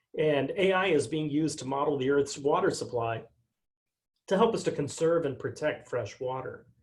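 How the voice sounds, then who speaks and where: The voice moves at a moderate pace with ordinary pitch variation. It sounds somewhat breathy. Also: man, fairly high pitch for a man. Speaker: technology company speaker. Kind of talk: webinar presentation. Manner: soft-spoken.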